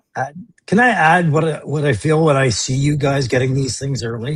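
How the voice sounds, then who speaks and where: A somewhat breathy man at a moderate pace. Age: 50s. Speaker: toy collector. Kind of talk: casual chat.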